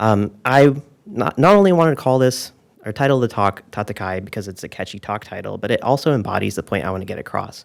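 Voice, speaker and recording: A man speaks very fast in a soft-spoken, medium-pitched voice with lively intonation. The recording is very clean, with a silent background. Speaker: software engineer, conference speaker. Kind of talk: conference talk. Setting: stage with audience.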